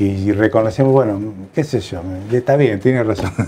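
The tone is dark and mellow, with ordinary pitch variation. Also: man. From Argentina, La Plata (Buenos Aires province); Buenos Aires province, Argentina. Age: 60s. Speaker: retired general practitioner. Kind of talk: life-story interview. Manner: halting, many fillers and repetitions. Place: home room. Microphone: lapel.

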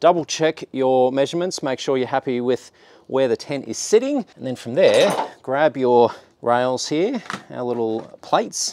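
Speaking at a fairly slow pace, a man uses an Australian accent and a medium pitch with ordinary pitch variation. The sound is dry with no echo. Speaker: DIY car channel host. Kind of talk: tutorial. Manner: casual, upbeat. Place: open country.

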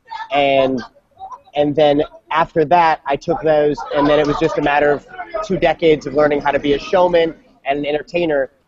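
With noticeable background noise behind him, a man with an American accent speaks fairly quickly in a monotone, flat intonation at a fairly high pitch. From US Midwest, St. Louis; US Midwest. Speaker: magician, former kids' party entertainer; guest. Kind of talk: panel discussion. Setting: video call from a coffee shop.

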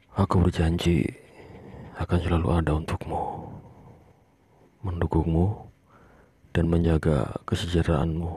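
A man's very deep, low voice at a fairly slow pace, with very even loudness, fairly even intonation and long, frequent pauses. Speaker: ASMR creator playing a husband. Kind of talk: whispered ASMR roleplay, soothing husband talking to pregnant wife. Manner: hushed, soft-spoken, slow and tender.

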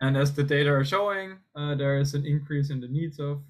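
Over a quiet background, a man talks at a fairly quick pace with a fairly high pitch, a somewhat breathy voice and fairly even intonation. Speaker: economics researcher presenting; presenter. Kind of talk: academic conference presentation. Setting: video call. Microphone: video call.

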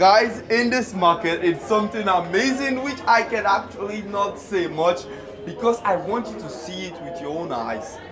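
Clear music plays behind a man whose high voice has ordinary pitch variation. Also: moderate pace, big swings in loudness. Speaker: vlogger. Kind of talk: casual vlog chat. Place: market.

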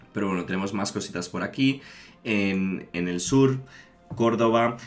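A man's fairly low voice at a moderate pace, faint music in the background. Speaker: gaming streamer. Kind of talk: casual gameplay commentary. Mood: enthusiastic. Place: home room.

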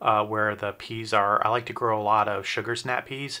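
A man speaks in a fairly low pitch. His pace is fairly slow. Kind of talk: casual garden tour narration. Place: garden. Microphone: phone near.

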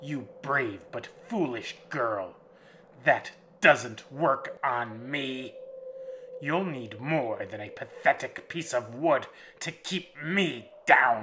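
A man uses a put-on character voice, guttural and menacing in tone at a medium pitch. He speaks at a very slow pace. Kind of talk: horror audiobook villain. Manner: sneering, menacing, then stunned.

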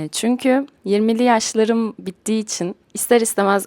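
A woman's dark, mellow tone at a moderate pace, in a dry, close sound with no echo. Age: 20s. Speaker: podcaster and playwright. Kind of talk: personal monologue.

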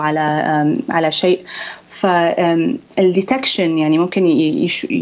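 A woman at a very slow pace. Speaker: ophthalmologist; guest. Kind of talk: interview, medical explanation. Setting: video call. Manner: hesitant, with filler sounds. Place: home room. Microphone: Skype connection; video call.

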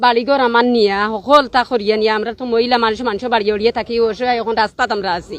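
A woman with a fairly high pitch speaks in an ordinary speaking voice. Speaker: protester at human chain. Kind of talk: testimony.

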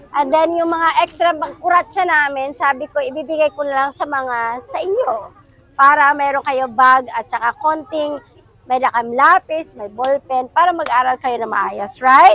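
A woman speaks in a high, raised voice that projects outward at a fairly slow pace. The sound is dry and close, with no echo. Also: ordinary pitch variation. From Philippines, Calbayog. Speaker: donor, overseas Filipino. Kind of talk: casual talk to children.

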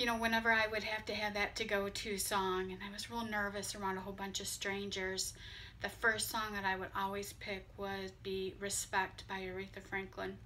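A woman's bright, sharp tone, monotone and flat, at a moderate pace with light background noise. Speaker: vlogger. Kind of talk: casual vlog chat. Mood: warm, slightly emotional tribute. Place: home room. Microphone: phone near.

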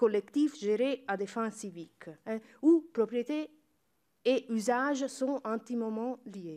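A woman's high voice, dark and mellow in tone, over a quiet background. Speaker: university researcher; panelist. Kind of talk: conference talk. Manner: halting, many hesitations and self-corrections. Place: hall. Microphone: podium.

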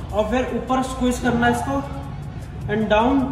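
A man's extremely high pitch with ordinary pitch variation, music in the background and audible room echo. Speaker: fitness trainer. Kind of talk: tutorial. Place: gym. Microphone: phone near.

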